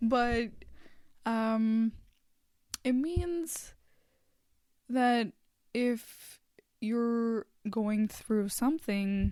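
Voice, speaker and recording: In a dark, mellow tone, a woman talks very slowly with a fairly high pitch and ordinary pitch variation. Her loudness stays very even, and she takes long, frequent pauses. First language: Hindi. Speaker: podcast host. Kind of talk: casual podcast monologue. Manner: hesitant, many fillers.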